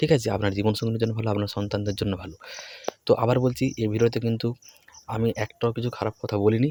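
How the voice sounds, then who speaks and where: In a plain, everyday voice, a man talks with fairly even intonation at a medium pitch. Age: 20s. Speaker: education YouTuber. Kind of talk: motivational talk to camera.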